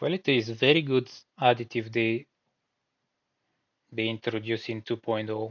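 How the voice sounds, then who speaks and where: At a moderate pace and medium pitch, a man with a non-native accent keeps fairly even intonation and takes long, frequent pauses. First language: not English. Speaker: gaming streamer. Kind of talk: live gameplay stream with chat reading. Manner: casual, relaxed.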